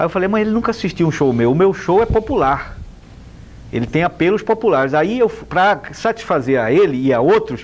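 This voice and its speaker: The speaker is a man moving at a fairly quick pace. His pitch swings very widely. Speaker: comedian. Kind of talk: TV interview.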